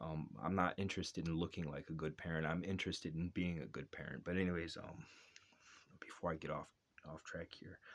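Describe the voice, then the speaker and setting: The man's pitch is very deep and low. He speaks at a fairly quick pace. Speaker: father vlogger. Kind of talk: casual monologue. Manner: fast.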